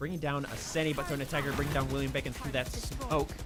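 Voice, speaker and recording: A man with a fairly high pitch, audible room echo and music in the background. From Missouri. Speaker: esports commentator. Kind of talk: live commentary. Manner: animated.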